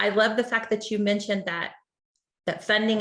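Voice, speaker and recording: A woman with a medium pitch and an American accent. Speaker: state education official. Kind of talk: webinar presentation.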